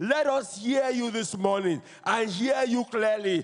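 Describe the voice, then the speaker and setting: The voice belongs to a man, pitched high. He speaks at a very slow pace. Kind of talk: led congregational prayer. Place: church. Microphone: handheld.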